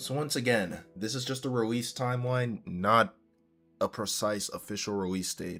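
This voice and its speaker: Music in the background behind a fairly low male voice, ordinary in pitch variation, at a moderate pace. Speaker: gaming streamer. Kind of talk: live stream commentary. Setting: live stream. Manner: halting, repeats words.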